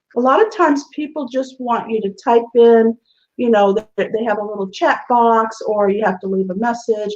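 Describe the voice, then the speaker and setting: A woman speaks at a moderate pace with an animated tone, a fairly high pitch and lively intonation. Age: 60s. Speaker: show host. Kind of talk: casual chat.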